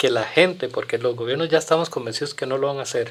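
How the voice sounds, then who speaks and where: This very clean recording with a silent background features a man speaking with ordinary pitch variation. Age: 60s. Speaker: community guest on environmental issues. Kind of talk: podcast interview. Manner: halting with frequent repetitions.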